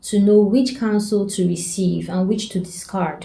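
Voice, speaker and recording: A woman speaks at a moderate pace and medium pitch, her tone dark and mellow. Her voice is somewhat breathy, with audible room echo. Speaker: self-development coach. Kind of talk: advice talk to camera.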